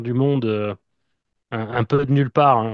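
A man speaks at medium pitch and a fairly slow pace in an ordinary speaking voice, with a quiet background. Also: dry, close sound with no echo. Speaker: wrestling fan podcaster. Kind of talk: interview.

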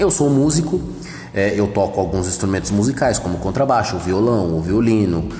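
A man with a fairly low voice speaks at a moderate pace. Noticeable background noise and audible room echo surround him. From São Paulo metro area, Brazil. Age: 30s. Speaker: podcaster. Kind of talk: solo monologue podcast. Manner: casual.

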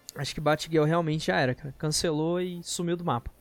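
Music plays in the background. A man with a fairly high pitch speaks at a moderate pace. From Brazil, Federal District (Brasília area). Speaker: podcast host, gaming and geek news. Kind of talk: casual chat.

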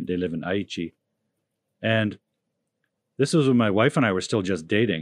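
With lively intonation and a fairly low pitch, a man talks at a moderate pace, leaving long, frequent pauses, in a dry, close sound with no echo over a quiet background. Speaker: language coach. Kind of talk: casual chat.

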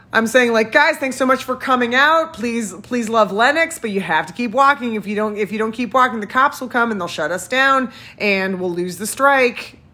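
Over noticeable background noise, a woman with a fairly high pitch speaks with lively intonation and hardly any pauses. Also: moderate pace. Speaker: podcast co-host. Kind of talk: casual chat. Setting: at home.

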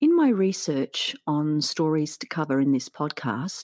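A woman with an Australian accent speaks at a fairly low pitch with very wide pitch swings. The sound is dry and close with no echo, on a very clean recording with a silent background. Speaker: podcast host, teacher. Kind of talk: scripted narration.

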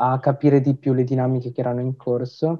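Speaking fairly quickly, a man keeps to a medium pitch. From Italy (Tamil family). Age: young. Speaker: podcast host. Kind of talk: interview.

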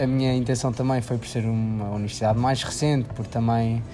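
Music plays behind a man at medium pitch. He talks at a fairly quick pace in a flat monotone. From Portugal, Figueira da Foz. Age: 20s. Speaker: recent engineering graduate. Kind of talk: interview.

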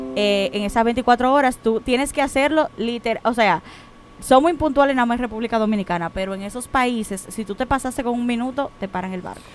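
A woman speaks at a high pitch and a fairly quick pace, with ordinary pitch variation. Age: 20s. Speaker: international shipping professional. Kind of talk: casual chat.

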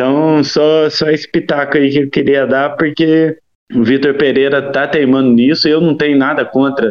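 Speaking in a rural Minas Gerais accent, a man talks at a fairly slow pace with a fairly high pitch. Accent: Minas Gerais countryside. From interior of Minas Gerais, Brazil. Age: 30s. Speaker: football podcast guest, fan commentator. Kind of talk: casual chat.

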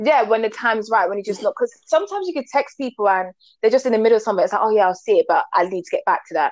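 A woman with a London accent at a fairly high pitch, very fast pace and big swings in loudness, in a dry, close sound with no echo. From UK, Jamaican parents. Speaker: co-host. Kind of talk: casual chat.

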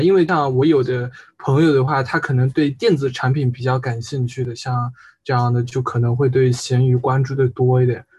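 Somewhat breathy, this voice moves along at a moderate pace. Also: man. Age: 20s. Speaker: university student. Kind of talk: casual chat.

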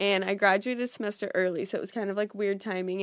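Speaking very fast in an American accent, a woman keeps a medium pitch and a monotone, flat intonation. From US West Coast, Orange County, California. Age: 20s. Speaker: social media influencer. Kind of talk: casual chat. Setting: in person, Brooklyn.

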